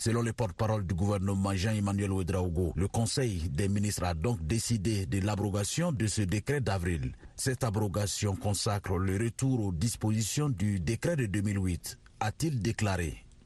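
Somewhat breathy and dark, mellow in tone, a man with fairly low pitch speaks at a fairly slow pace, with ordinary pitch variation and very even loudness. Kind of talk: news report filed from the field.

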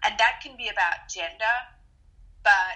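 Her bright, sharp-toned voice moves at a very slow pace, the woman keeping a fairly even intonation. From Australia. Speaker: TV correspondent. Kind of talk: interview. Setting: phone call.

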